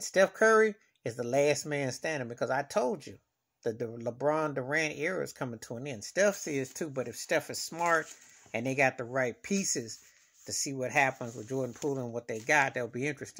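Lively intonation colors a man's fairly quick speech. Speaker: sports fan vlogger. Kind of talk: casual vlog commentary. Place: home room. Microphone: phone near.

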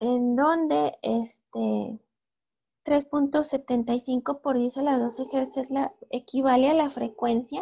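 A woman speaks with a northern Mexican accent and a high pitch. Her tone is dark and mellow, with ordinary pitch variation. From northern Mexico, Torreón, Coahuila. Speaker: astronomy student lecturer. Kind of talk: lecture. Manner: hesitant, many fillers.

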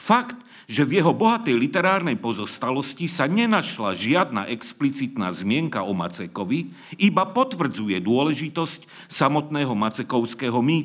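A man speaks at a moderate pace. His voice carries vocal fry. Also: quiet background. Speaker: conference speaker. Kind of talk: lecture. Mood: dry mock-serious humour. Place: stage. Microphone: podium.

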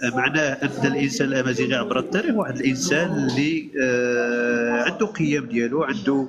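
Clear music plays in the background as a man with a fairly high pitch speaks at a moderate pace. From Morocco. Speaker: Amazigh movement activist; guest. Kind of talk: lecture-style talk. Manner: halting, repeats words. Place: home room. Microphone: video call.

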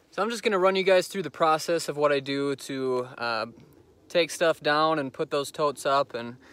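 A man's voice at a moderate pace with ordinary pitch variation, the sound dry with no echo. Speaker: vehicle dweller vlogger. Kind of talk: casual vlog chat. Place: open country. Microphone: phone near.

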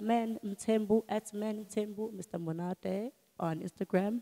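In a dark, mellow tone, a woman speaks with fairly even intonation. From South Africa. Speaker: podcast host. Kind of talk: casual interview. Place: studio. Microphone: handheld.

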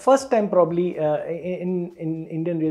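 A man is talking while faint music sits in the background. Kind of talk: explanatory commentary to camera. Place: office. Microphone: lapel.

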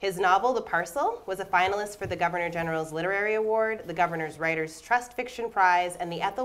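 A woman with an ordinary speaking voice talks at a fairly quick pace with hardly any pauses, at a medium pitch for a woman with ordinary pitch variation. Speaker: theatre associate artistic director and moderator. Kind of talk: moderated panel talk. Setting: stage with live audience. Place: stage.

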